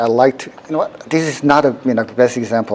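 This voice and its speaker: A man at a medium pitch, fairly quick pace and ordinary pitch variation, with noticeable background noise. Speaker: university professor, workshop instructor. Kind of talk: technical workshop tutorial. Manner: fast.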